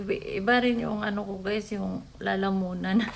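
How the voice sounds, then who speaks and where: A woman talks at a fairly slow pace. Her voice carries audible room echo. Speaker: vlogger. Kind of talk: casual vlog talk. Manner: halting.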